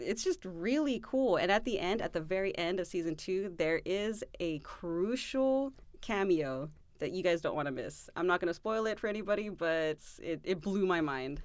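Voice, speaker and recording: In an American accent, a woman with an ordinary speaking voice talks at a moderate pace with lively intonation. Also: very clean recording, silent background. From Southern California. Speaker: podcast co-host and editor-in-chief.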